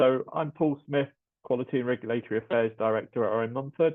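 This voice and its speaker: At a very fast pace, a man talks with a British accent. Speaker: quality and regulatory affairs director. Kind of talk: webinar presentation. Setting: webinar.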